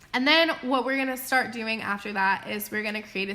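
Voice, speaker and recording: A woman speaks at a fairly quick pace. Her pitch is fairly high, with ordinary pitch variation. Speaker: school teacher. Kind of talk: recorded lesson. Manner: fast.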